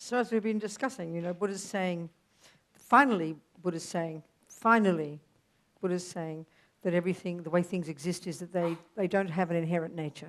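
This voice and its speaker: A woman is talking at a fairly quick pace. Her pitch variation is ordinary. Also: fairly low pitch for a woman. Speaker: Buddhist nun and teacher. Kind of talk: dharma teaching. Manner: loud; animated.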